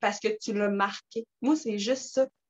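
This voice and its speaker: A woman with a Quebec accent and a fairly high pitch speaks in an animated tone, the sound dry and close with no echo. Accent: Québécois French. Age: 20s. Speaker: network marketing distributor. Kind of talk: casual talk on video call. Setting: video call.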